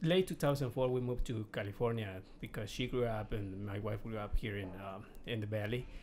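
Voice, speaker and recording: Speaking at a moderate pace, the man has a medium-pitched voice with ordinary pitch variation. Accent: Mexican. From Mexico. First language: Spanish. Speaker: real estate investor. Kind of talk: podcast interview. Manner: halting, repeats words.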